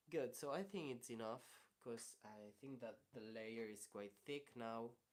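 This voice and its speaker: A man with a Spanish accent speaks at medium pitch and a fairly slow pace. His pitch varies in an ordinary way. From Spain. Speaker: ceramicist. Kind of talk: live tutorial. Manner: halting.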